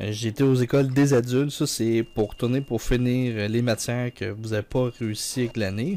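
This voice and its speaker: With a Quebec accent, a man speaks at a moderate pace in a dark, mellow tone with ordinary pitch variation. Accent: Québécois. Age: 20s. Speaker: gaming YouTuber. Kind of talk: let's play commentary. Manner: casual, hesitant with many fillers.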